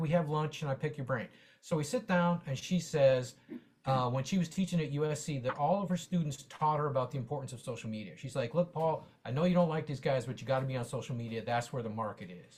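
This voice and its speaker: Very fast and animated, a man speaks in a fairly high, somewhat breathy voice with ordinary pitch variation. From US West, Las Vegas. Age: 60s. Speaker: drummer and music teacher. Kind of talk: Q&A question in an online workshop. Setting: video call. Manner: halting.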